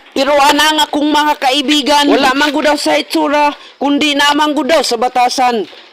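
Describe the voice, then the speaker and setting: Over noticeable background noise, a man with an extremely high pitch speaks with monotone, flat intonation. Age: young. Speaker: vlogger. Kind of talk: casual vlog narration. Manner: playful.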